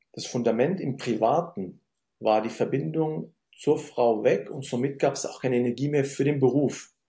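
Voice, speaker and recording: The man's tone is dark and mellow, and somewhat breathy, at a medium pitch. He keeps a moderate pace with ordinary pitch variation. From Germany, Syrian-born. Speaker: business consultant. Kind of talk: interview conversation.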